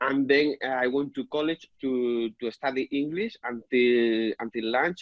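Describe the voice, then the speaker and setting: A man with a Spanish accent talks at a medium pitch and a fairly slow pace. His intonation is fairly even, with hardly any pauses. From Spain. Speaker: property business owner and software developer. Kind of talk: interview. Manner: halting, many repetitions.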